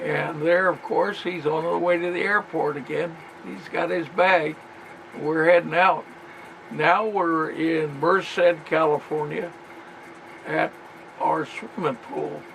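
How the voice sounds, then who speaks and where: Over noticeable background noise, a man talks very slowly in a high voice, with ordinary pitch variation and long, frequent pauses. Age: 80s+. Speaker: military veteran. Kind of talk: reminiscing narration over family photos.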